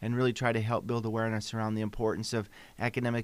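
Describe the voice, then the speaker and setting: A man with an American accent talks at a very fast pace and a medium pitch. His intonation is monotone and flat, and the recording is very clean with a silent background. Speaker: college president. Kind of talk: radio interview, casual chat. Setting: radio studio.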